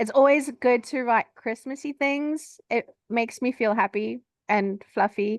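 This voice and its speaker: The sound is dry and close with no echo. A woman with a South African accent speaks with lively intonation. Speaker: romance author. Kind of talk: casual chat.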